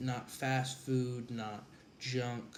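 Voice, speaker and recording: A man speaks with medium pitch and monotone, flat intonation. Audible room echo surrounds his voice. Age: 20s. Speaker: college student and former wrestler. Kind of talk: vlog monologue. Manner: casual with frequent fillers.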